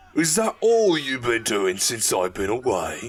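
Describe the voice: A man puts on a gruff character voice at a medium pitch. He speaks at a fairly slow pace.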